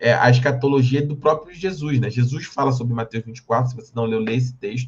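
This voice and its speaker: The voice is somewhat breathy and runs at a very fast pace with fairly even intonation. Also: man. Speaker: Bible teacher. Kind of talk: lecture.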